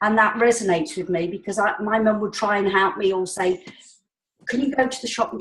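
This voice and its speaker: Somewhat breathy, a woman speaks at medium pitch and a fairly quick pace with ordinary pitch variation. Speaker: support group participant. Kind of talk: casual group call chat. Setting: group call.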